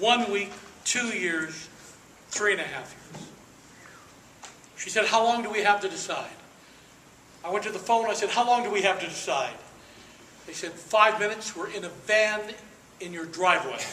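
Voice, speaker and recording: A man with an American accent uses a raised, projected voice at a high pitch, his loudness swinging widely. Long, frequent pauses, audible room echo and noticeable background noise run through the clip. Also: fairly even intonation, moderate pace. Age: 60s. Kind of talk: speech to an audience. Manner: emphatic, repetitive rhetorical delivery.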